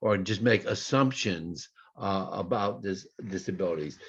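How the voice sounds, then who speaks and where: A man with an unremarkable speaking voice talks at a fairly slow pace with lively intonation against a quiet background. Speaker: epilepsy advocacy speaker. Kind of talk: conference presentation.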